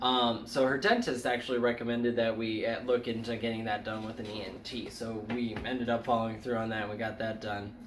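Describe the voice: A man speaks at a fairly quick pace with few pauses, his pitch fairly low and barely moving. Room echo is audible.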